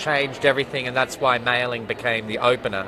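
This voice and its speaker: Over noticeable background noise, a man with an Australian accent talks in a fairly even intonation. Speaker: ballet choreographer and artistic director. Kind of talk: interview. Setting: opening night party.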